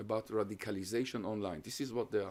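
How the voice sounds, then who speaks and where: Heard on a very clean recording with a silent background, a man speaks at a medium pitch. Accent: Hungarian. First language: Hungarian. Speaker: professor. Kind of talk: lecture Q&A. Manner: halting.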